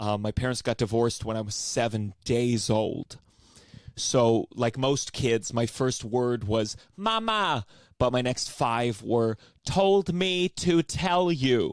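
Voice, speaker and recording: A man speaks very slowly at a medium pitch. The sound is dry and close, with no echo. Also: lively intonation. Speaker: comedian. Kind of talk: stand-up. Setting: online show from home. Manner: loud; stammering, repeats words.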